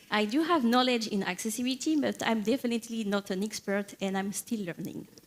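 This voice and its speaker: In a French accent, the speaker talks at a fairly quick pace with ordinary pitch variation. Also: woman. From France, Paris. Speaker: software engineer, conference keynote speaker. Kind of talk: conference keynote talk. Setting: stage with audience. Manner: hesitant, many fillers.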